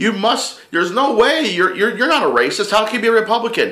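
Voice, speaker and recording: A man talks in an animated tone. Audible room echo surrounds his voice. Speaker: political vlogger. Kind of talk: casual chat. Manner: fast.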